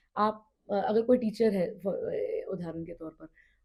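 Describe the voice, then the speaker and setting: A woman's dark, mellow, somewhat breathy tone with fairly even intonation. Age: 30s. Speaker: politician. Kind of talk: podcast interview. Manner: hesitant fillers.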